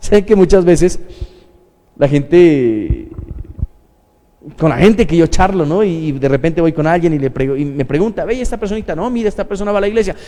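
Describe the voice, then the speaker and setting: A man's high-pitched voice at a fairly quick pace, lively in intonation and broken by long, frequent pauses. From Colombia. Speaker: pastor. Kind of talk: sermon. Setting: church livestream.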